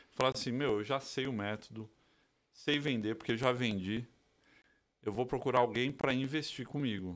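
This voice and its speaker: At a moderate pace, a man with a medium-pitched voice speaks with fairly even intonation and long, frequent pauses. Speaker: podcast co-host. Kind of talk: casual chat. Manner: relaxed, slangy.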